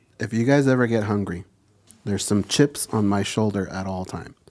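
Using an unremarkable speaking voice, a man talks at a fairly quick pace and a fairly low pitch. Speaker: co-host. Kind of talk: casual chat.

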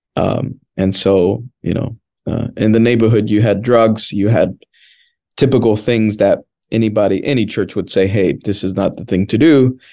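With a Spanish accent, a man speaks at a moderate pace in a fairly low register, his tone dark and mellow and his intonation fairly even. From Washington, D.C. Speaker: pastor. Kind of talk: casual chat.

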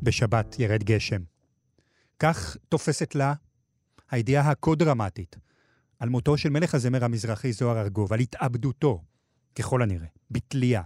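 A man at medium pitch, fairly slow and somewhat breathy, with lively intonation, very even loudness and long, frequent pauses, on a dry, close, echo-free and very clean recording with a silent background. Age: 40s. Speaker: podcast host. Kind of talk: scripted narration. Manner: formal.

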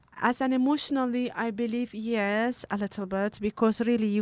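A woman's fairly high voice with a Kurdish accent, moderate pace and fairly even intonation, dry and close with no echo, in a very clean recording over a silent background. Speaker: animal rights activist. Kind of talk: interview. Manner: halting.

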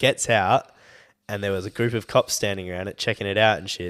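In an Australian accent, a man speaks at a fairly quick pace with a fairly low pitch. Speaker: podcast co-host. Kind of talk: casual chat. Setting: studio.

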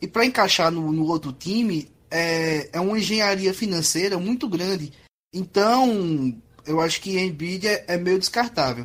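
A man with a high voice keeps a moderate pace, and his intonation is lively. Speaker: podcast co-host. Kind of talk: casual chat.

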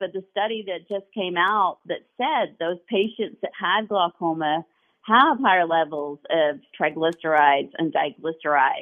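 An unremarkable speaking voice from a woman, fairly slow in pace, with ordinary pitch variation. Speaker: eye doctor and nutritionist. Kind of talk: radio call-in health talk.

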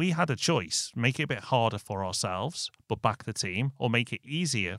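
Someone with a northern English accent talks at a moderate pace in a very clean recording with a silent background and a dry, close sound with no echo. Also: man. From northern England. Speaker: business podcast co-host. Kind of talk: casual business discussion.

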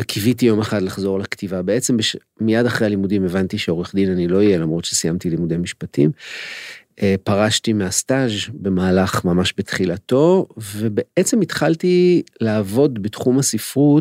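A man speaks at a moderate pace in a fairly low pitch with lively intonation. The recording is very clean and dry, with a silent background and no echo. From Israel, Holon. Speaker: crime novelist and literature lecturer. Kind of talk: interview conversation. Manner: hesitant, many fillers.

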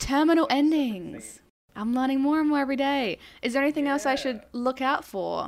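Speaking at a fairly quick pace, a woman with a high-pitched voice uses ordinary pitch variation on a very clean recording with a silent background. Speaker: podcast host. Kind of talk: casual interview chat.

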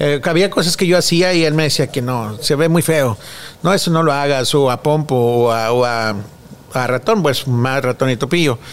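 Noticeable background noise sits behind speech delivered at a moderate pace, with very even loudness and ordinary pitch variation. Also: man, fairly high pitch for a man. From Mexico. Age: 40s. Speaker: children's clown. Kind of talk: interview.

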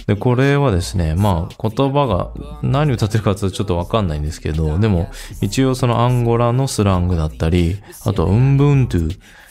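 A man speaks at a moderate pace, his pitch swinging very widely, with noticeable background noise present. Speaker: radio host. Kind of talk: radio DJ patter, relaxed music-show chat introducing songs and segments. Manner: casual, conversational, filler-heavy with frequent "えー" and "あの", friendly and easygoing.

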